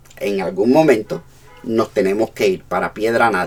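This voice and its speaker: A man speaks at medium pitch and a fairly slow pace. His pitch swings very widely. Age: 60s. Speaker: pastor. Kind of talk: sermon.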